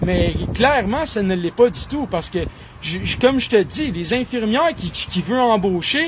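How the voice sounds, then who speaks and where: A man's high, animated voice with very wide pitch swings, moderate in pace, over noticeable background noise. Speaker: political commentator. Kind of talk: political monologue.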